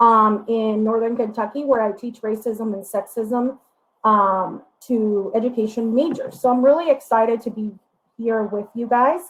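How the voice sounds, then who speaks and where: With a Spanish accent, a woman speaks at a moderate pace, her pitch fairly high and her intonation fairly even. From Puerto Rico. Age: 30s. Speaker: diversity educator. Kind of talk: workshop presentation. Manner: hesitant, frequent fillers.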